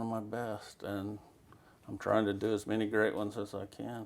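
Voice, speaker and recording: With a West Texas accent, the speaker talks in a monotone, flat intonation. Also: man. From Texas Panhandle, Amarillo. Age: 60s. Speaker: western painter. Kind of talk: interview. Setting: artist's studio.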